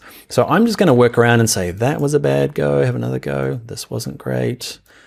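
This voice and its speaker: A man with a New Zealand accent, an enthusiastic tone and very wide pitch swings. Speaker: software instructor. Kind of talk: tutorial. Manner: casual, enthusiastic.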